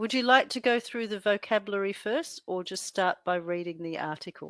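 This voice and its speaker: A woman speaks with an Australian accent at a medium pitch and fairly quick pace. Her pitch variation is ordinary, and the sound is dry and close with no echo. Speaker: English tutor. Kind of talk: tutoring session. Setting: video call. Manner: hesitant.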